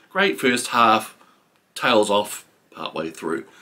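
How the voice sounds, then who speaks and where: This man speaks with a New Zealand accent. His pitch is fairly low and his pace fairly slow. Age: 50s. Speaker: book reviewer. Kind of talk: book review monologue. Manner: halting, many fillers. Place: home room.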